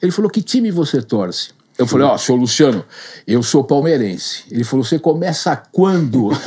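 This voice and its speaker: Speaking at a moderate pace, a man with a dark, mellow tone and a fairly high pitch makes very wide pitch swings while keeping his loudness very even. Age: 60s. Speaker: real estate sales manager. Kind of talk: interview, storytelling.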